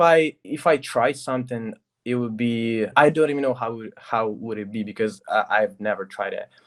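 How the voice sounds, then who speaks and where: In a very clean recording with a silent background, a man speaks with a Russian accent. His pitch is medium with ordinary variation, and his pace is moderate. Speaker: recording artist and producer. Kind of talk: casual interview chat. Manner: halting.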